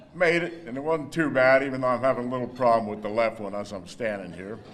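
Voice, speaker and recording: A man with an American accent and medium pitch talks at a very fast pace with lively intonation, amid noticeable background noise and audible room echo. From northern New Jersey, US. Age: 70s. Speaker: hall of fame inductee, former athlete. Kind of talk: acceptance speech. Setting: banquet hall with audience.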